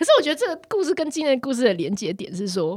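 A woman speaks at a very fast pace. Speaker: podcast host; occupational therapist. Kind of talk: casual chat.

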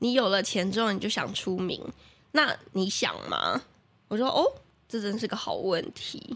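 A woman with a fairly high pitch talks in an animated tone with lively intonation at a fairly slow pace, leaving long, frequent pauses. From Taiwan, Taichung. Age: 20s. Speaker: radio marketing planner and host. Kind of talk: casual interview chat. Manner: animated, laughs often.

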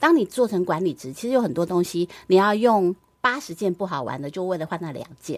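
A woman with a plain, everyday voice speaks at a medium pitch and a fairly quick pace, with lively intonation. Her loudness swings a lot, on a very clean recording with a silent background. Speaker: former radio host and media executive. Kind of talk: interview.

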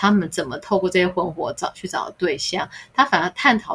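Speaking at a moderate pace with a medium pitch, a woman has an unremarkable speaking voice and ordinary pitch variation. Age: middle-aged. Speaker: podcast co-host. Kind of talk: casual chat.

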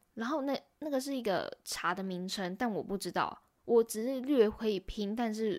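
A fairly high-pitched woman with a Taiwanese accent at a moderate pace, in a very clean recording with a silent background. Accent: Taiwanese Mandarin. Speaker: YouTuber and podcaster. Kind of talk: casual solo vlog-style monologue.

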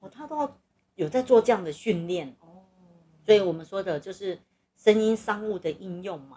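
A woman's dark, mellow voice at medium pitch, lively in intonation, with big swings in loudness and a moderate pace. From southern Taiwan. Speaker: podcast host. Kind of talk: casual chat. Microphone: recording equipment problems, noise.

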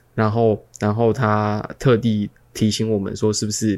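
With a Taiwanese accent, a man talks in a fairly low pitch. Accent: Taiwanese Mandarin. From Taiwan, Kaohsiung. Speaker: podcast co-host. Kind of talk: casual chat.

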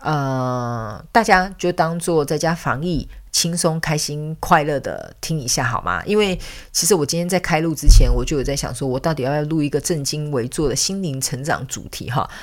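This woman has a Taiwanese accent and a very deep, low pitch. She speaks at a moderate pace with ordinary pitch variation. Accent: Taiwanese Mandarin. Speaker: podcast host and spiritual counselor. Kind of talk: casual chat.

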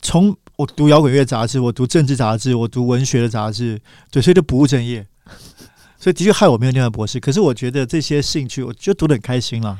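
In a very clean recording with a silent background, a man with a medium pitch and dark, mellow tone talks at a very fast pace with ordinary pitch variation. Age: 40s. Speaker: magazine editor and writer. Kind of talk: casual interview chat.

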